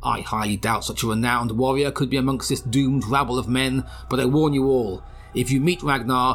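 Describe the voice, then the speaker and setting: Here is a man with an ordinary speaking voice at a medium pitch. He talks at a fairly quick pace. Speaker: voice actor playing a character. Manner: weary, regal, anxious.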